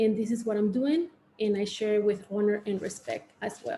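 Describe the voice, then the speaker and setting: A woman speaks in a Mexican accent. Her pitch is fairly high. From Mexico (Oaxaca). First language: Spanish. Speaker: artist and arts educator. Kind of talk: panel presentation. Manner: halting, many fillers.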